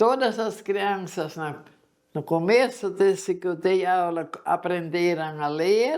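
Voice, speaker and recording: Her pace is very slow, and this woman's pitch varies in an ordinary way. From German-speaking community, southern Brazil. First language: German (speaking Portuguese). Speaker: retired schoolteacher. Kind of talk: interview testimony.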